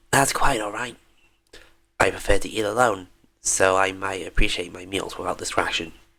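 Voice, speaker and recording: This raspy, put-on character voice moves at a moderate pace with long, frequent pauses. The intonation stays fairly even while the loudness swings a lot. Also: man, fairly low pitch for a man. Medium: game stream. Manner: cool, formal.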